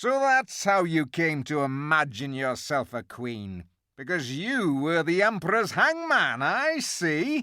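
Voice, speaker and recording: A man performs a put-on character voice with very wide pitch swings, at a fairly slow pace and with hardly any pauses. The recording is very clean, the background silent. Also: fairly high pitch for a man. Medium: read story.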